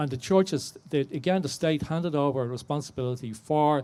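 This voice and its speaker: With a Dublin accent, a man talks at a moderate pace in a fairly high pitch with a dark, mellow tone. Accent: Dublin Irish. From Ireland, Dublin. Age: 60s. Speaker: audience member, survivor contributor. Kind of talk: audience question/testimony. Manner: halting.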